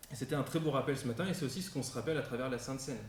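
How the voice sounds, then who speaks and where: With a slight northern French accent, a man speaks at a fairly high pitch with ordinary pitch variation, and audible room echo surrounds his voice. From northern France near Belgium, Champagne-Ardenne. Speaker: guest preacher. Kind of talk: sermon. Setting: church service, live-streamed. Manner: hesitant, many fillers.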